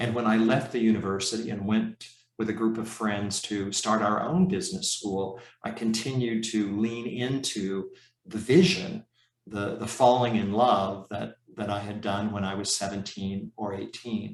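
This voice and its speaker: Using a plain, everyday voice, a man talks at a moderate pace and a fairly low pitch. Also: ordinary pitch variation. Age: 60s. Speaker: professor and leadership coach. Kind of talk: conference talk.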